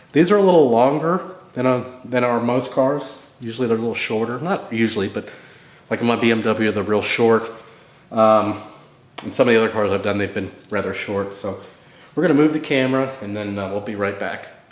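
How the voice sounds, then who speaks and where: The speech moves at a fairly quick pace, with ordinary pitch variation and audible room echo. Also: man, medium pitch for a man. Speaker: DIY car repair videomaker. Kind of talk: tutorial. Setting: cold home garage. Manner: casual, halting with fillers.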